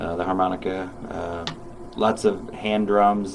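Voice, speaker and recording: Noticeable background noise sits behind this recording. A man speaks fairly slowly with a fairly low pitch. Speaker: musician. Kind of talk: casual chat. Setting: radio studio.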